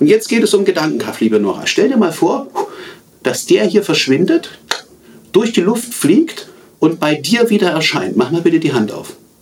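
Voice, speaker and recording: Very wide pitch swings at a moderate pace, broken by long, frequent pauses, over noticeable background noise. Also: man, high pitch for a man. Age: 40s. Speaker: magician and communication trainer. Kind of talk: interview; magic trick performance.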